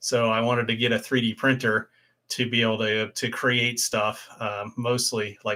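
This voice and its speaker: A man speaks at a medium pitch with a Midwestern American accent. His tone is bright and sharp, and his intonation stays monotone and flat. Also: moderate pace. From Ohio, US Midwest. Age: 50s. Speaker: motorcycle YouTuber. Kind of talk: casual live stream chat. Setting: home live stream.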